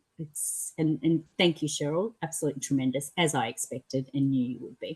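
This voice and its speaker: Somewhat breathy and very deep, low in pitch, a woman speaks at a fairly quick pace with ordinary pitch variation. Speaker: association committee member. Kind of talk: brief closing remarks.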